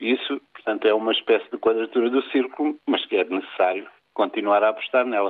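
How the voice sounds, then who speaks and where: An ordinary speaking voice from a man, medium in pitch, fairly quick, its pitch varying in an ordinary way. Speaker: sociology professor. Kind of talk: radio interview.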